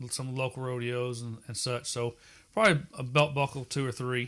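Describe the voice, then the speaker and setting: On a very clean recording with a silent background, a man talks at medium pitch with monotone, flat intonation. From Texas (East Texas). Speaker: collector and home museum owner. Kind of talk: casual interview. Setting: at his home.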